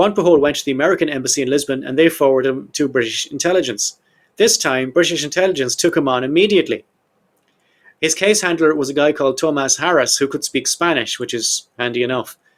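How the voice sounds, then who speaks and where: With an Irish accent, a man talks at a very fast pace in a fairly high pitch with ordinary pitch variation. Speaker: podcast host. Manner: storyteller, conversational.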